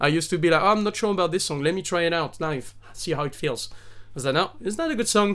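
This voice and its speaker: Talking at a very fast pace, a man with a French accent has a high pitch and ordinary pitch variation. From southern France. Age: 30s. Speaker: singer-songwriter and actor. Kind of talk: casual chat.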